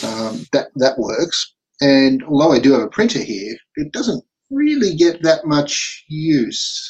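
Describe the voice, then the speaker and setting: Speaking with an Australian accent, a man talks very slowly at a fairly high pitch with lively intonation. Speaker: podcast host. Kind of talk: casual chat. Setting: video call.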